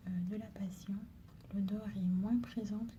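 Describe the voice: A woman's voice at medium pitch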